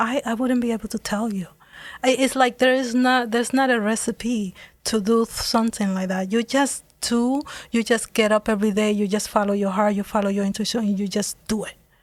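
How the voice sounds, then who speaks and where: A woman with a Dominican accent speaks at a fairly high pitch, keeping her intonation fairly even. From Dominican Republic. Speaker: business owner, former engineer. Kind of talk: interview.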